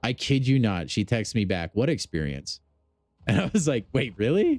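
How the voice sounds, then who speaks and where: Music plays in the background as a man speaks in an animated tone. The sound is dry and close, with no echo. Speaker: gaming streamer. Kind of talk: live stream chat. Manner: loud; casual, animated.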